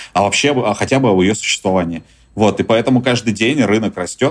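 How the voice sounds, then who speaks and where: Speaking in an ordinary speaking voice, a man uses lively intonation at a medium pitch and fairly quick pace. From Russia. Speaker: journalist and tour business owner. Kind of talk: interview.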